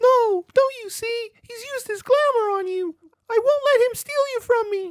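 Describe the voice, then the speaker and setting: At a moderate pace, a cartoonish character voice comes through at an extremely high pitch. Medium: puppet.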